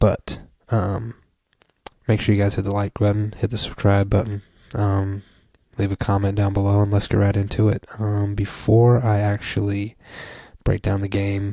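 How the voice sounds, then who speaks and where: A man's fairly low, dark and mellow voice, somewhat breathy, flat and monotone at a moderate pace with long, frequent pauses. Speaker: sports commentator. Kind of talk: solo sports recap podcast. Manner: quiet, kept low to not wake family; casual with many filler ums.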